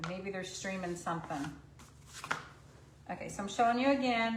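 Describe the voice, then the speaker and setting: Recorded with audible room echo and noticeable background noise, a woman speaks at a medium pitch. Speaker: craft painting instructor. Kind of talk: live stream painting tutorial. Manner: loud; chatty, casual.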